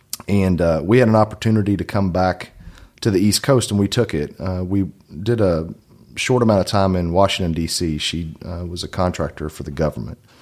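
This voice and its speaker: Here a man talks at a fairly quick pace. His very deep, low voice shows ordinary pitch variation. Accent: Kentucky. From Kentucky. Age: 30s. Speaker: real estate agent. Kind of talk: casual chat.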